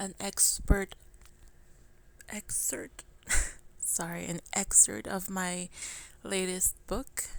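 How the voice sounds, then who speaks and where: The speaker mumbles at a very slow pace. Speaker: author. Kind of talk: casual talk to camera. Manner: stumbling, mumbling.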